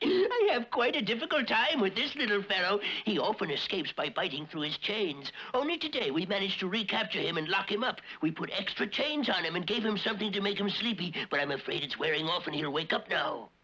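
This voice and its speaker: A man's very fast, high-pitched, cartoonish character voice. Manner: gloating, cackling.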